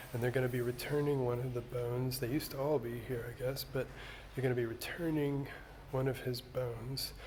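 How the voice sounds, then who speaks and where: Amid noticeable background noise and audible room echo, a man speaks at a moderate pace in a medium-pitched voice with monotone, flat intonation. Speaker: church video host touring a cathedral. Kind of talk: video tour narration. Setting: inside a cathedral, filming on site. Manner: casual, with fillers; quiet.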